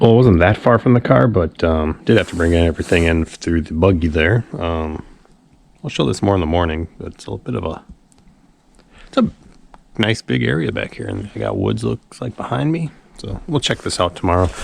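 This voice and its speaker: This man's very deep, low voice has vocal fry, very wide pitch swings and big swings in loudness. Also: fairly quick pace. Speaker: outdoor vlogger. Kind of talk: casual vlog narration.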